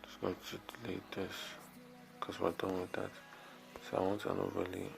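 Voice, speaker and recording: With music in the background, a man speaks quietly at a moderate pace. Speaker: video editing tutorial youtuber. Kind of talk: tutorial. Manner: quiet, talking low; casual, halting.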